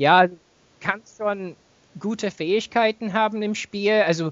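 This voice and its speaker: A man with an English accent speaks fairly slowly, his intonation fairly even. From England. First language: English (speaking German). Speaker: gamer, podcast guest. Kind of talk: casual chat.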